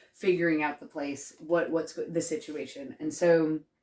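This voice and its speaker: A woman with an American accent talks at a moderate pace in a very deep, low pitch, with ordinary pitch variation. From USA. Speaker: comedian. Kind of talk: casual chat. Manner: halting.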